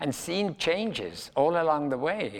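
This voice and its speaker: A man's voice with very wide pitch swings, in a very clean recording with a silent background. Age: 90s. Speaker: ballet dancer. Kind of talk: documentary interview.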